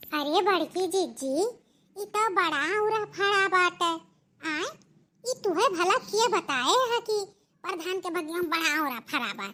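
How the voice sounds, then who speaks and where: The female-sounding voice is a cartoonish character voice pitched extremely high. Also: moderate pace. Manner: bossy, boastful.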